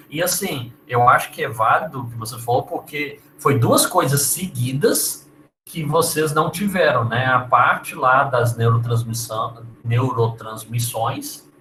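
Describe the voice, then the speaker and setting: A man's medium-pitched voice, bright and sharp in tone, at a fairly slow pace. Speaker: university lecturer. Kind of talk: lecture.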